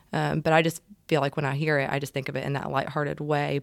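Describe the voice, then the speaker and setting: A woman's very deep, low voice at a fairly quick pace, monotone and flat in intonation, on a very clean recording with a silent background. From Savannah, Georgia. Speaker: campus ministry staff. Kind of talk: casual chat.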